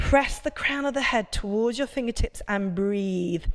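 A woman talks with ordinary pitch variation against a quiet background. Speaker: yoga instructor. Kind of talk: workout instruction. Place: gym. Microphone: lapel.

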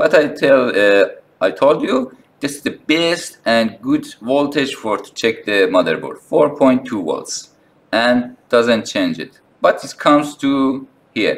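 The pace of this man's speech is very slow. He has a non-native accent. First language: not English. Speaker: phone repair technician. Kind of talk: tutorial talk to camera. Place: workshop.

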